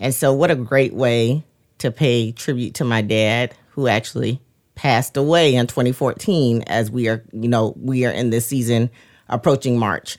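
A woman's very deep, low voice at a moderate pace, with fairly even intonation, very even loudness, and a very clean recording over a silent background. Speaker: podcast co-host. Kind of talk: casual chat.

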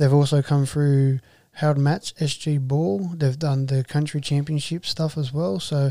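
An Australian-accented man speaks at a fairly slow pace and fairly high pitch, his tone dark and mellow and his intonation fairly even, in a dry, close, very clean recording with no echo and a silent background. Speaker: rugby league podcast host and junior coach. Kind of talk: casual chat.

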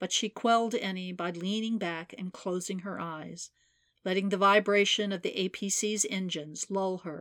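The clip is plain reading aloud. Its intonation holds fairly even.

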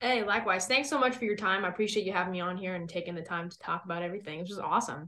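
A woman talks at a very fast pace with hardly any pauses. Her voice is medium in pitch, with ordinary pitch variation. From US West Coast. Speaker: country rock singer. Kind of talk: casual chat.

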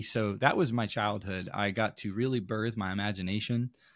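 A man with an American accent talks at a fairly slow pace in a fairly low voice, his intonation fairly even, captured in a very clean recording with a silent background and a dry, close sound with no echo. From Maine, US. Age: 20s. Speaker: youth pastor. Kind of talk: podcast interview.

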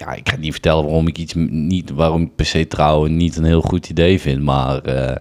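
A man with a very deep, low pitch and fairly even intonation, over noticeable background noise. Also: moderate pace. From Den Bosch, Netherlands. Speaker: former show jumper. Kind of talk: casual chat. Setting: at the kitchen table.

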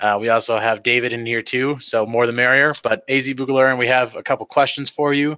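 A man with an American accent speaks at a fairly quick pace with hardly any pauses, in an unremarkable speaking voice. His medium pitch keeps fairly even intonation, and the sound is dry and close with no echo. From Michigan. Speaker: podcast host. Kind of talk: casual chat.

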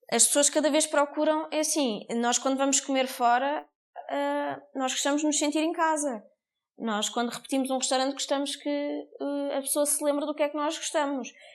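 A woman speaks at a moderate pace in a high voice, her intonation fairly even. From Portugal, Cascais. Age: 30s. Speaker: restaurant owner and front-of-house manager. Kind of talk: interview.

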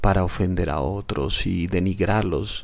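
A man speaks at a fairly slow pace. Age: 30s. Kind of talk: reflective solo podcast talk. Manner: hesitant fillers.

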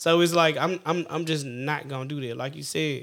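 In a very clean recording with a silent background, a man talks at a moderate pace with a fairly high pitch. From US West, Sacramento area. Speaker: Navy veteran. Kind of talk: casual chat.

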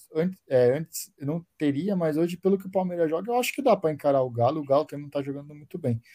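A man speaks at a very fast pace in a dark, mellow tone. His pitch sits fairly high with ordinary variation. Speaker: football podcast co-host. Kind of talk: casual chat.

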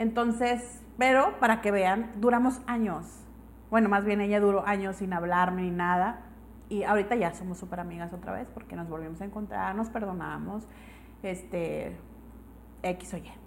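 A woman with a Mexican accent speaks at a moderate pace in a medium pitch, with ordinary pitch variation. Her loudness swings a lot, and the room echo is audible. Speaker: podcast co-host. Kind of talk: casual chat.

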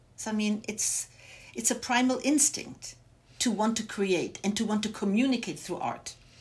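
A woman talks at a moderate pace in a fairly high, somewhat breathy voice. Her pitch varies in an ordinary way. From Germany, Bavaria. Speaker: arts center director. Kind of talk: interview.

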